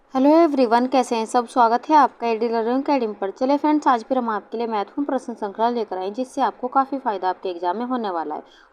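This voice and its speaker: Against a quiet background, a woman talks at a high pitch with ordinary pitch variation and hardly any pauses. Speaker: online exam-prep teacher. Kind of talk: lecture. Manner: slow.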